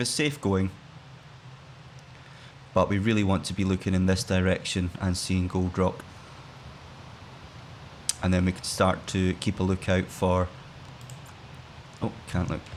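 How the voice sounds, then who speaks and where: With a Scottish accent, a man speaks in a very deep, low pitch and fairly even intonation. He moves at a fairly slow pace, with long, frequent pauses. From Scotland. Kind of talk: gaming let's play commentary. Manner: relaxed, laid-back.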